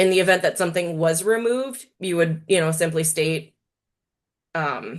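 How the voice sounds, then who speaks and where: A woman with an ordinary speaking voice, fairly low in pitch, with ordinary pitch variation and a moderate pace, over a quiet background. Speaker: webinar presenter. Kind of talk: Q&A answers; webinar presentation.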